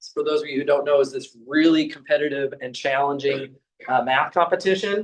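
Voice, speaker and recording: Fairly quick male speech with ordinary pitch variation. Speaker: math professor. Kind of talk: lecture. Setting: classroom. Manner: animated.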